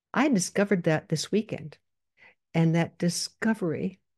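Against a quiet background, a woman speaks at a moderate pace in a dark, mellow tone with a fairly low pitch. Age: 80s+. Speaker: psychologist and coach podcast host. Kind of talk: solo podcast monologue. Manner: conversational, direct address to listeners.

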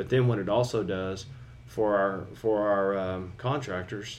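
In a room with audible echo, a man speaks at a fairly low pitch and a fairly slow pace, his intonation fairly even.

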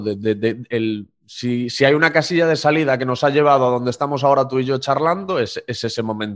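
Lively intonation marks this man's speech at a medium pitch. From Spain, Galicia (Corcubión). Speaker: podcast host and interviewer. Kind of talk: interview conversation. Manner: halting, with frequent repetitions.

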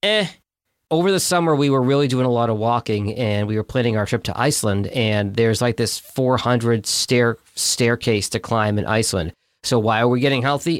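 On a very clean recording with a silent background, a man uses a normal speaking voice at medium pitch with ordinary pitch variation. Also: moderate pace, very even loudness. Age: 40s. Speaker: podcast host. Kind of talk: casual chat.

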